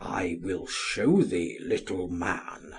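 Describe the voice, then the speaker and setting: Growling in a put-on character voice, a man drops to a very deep, low pitch. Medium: read story. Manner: curt, speaks only briefly.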